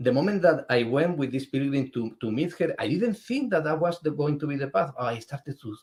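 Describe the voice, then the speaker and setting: Speaking with a Spanish accent, a man has a fairly high pitch and a somewhat breathy voice. His intonation is lively and his pace moderate. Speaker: spiritual artist and pilgrim. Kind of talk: interview. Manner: halting.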